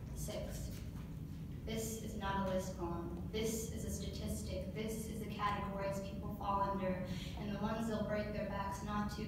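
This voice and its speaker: A woman talks at a moderate pace over loud background noise, with audible echo in the room. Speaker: poet. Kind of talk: spoken word poetry performance, reading a poem aloud to council. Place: meeting room. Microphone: camera far.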